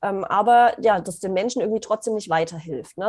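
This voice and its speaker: A woman's fairly high-pitched voice with ordinary pitch variation, a plain, everyday voice. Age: 30s. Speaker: business coach. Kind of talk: interview.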